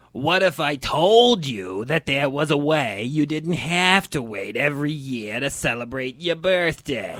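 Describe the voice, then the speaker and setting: A man's put-on character voice, fairly high in pitch and fairly slow in pace. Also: hardly any pauses. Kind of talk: comic infomercial pitch. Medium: audio drama. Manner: pushy, evangelizing pitchman.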